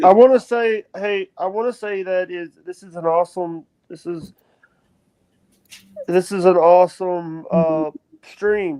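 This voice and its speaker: A fairly slow pace in a Southern US accent, with long, frequent pauses. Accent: Southern twang. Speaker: live stream host. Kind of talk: casual chat. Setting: live stream. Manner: halting, repetitive.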